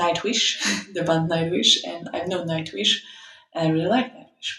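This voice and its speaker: A woman speaks with a Polish accent. Her pitch sits fairly low. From Poland. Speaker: opera singer and metal band vocalist. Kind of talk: interview.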